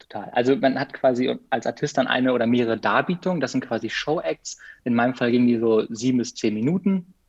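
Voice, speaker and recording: Ordinary pitch variation marks this very fast speech. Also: man, medium pitch for a man. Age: 20s. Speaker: freelance biographer and photographer, former circus artist. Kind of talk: casual interview.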